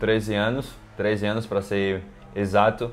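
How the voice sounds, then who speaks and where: A man talks fairly slowly with music playing behind him. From Brazil, Maceió, Alagoas (Northeast). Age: 20s. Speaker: professional handball player. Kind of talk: interview. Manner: casual, with many fillers and repetitions.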